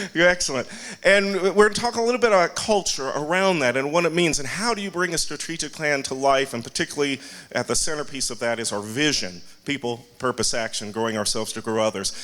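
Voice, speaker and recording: A man speaks at a fairly quick clip in a bright, sharp, animated tone, his pitch swinging very widely. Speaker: university president. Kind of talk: speech to staff. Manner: fast.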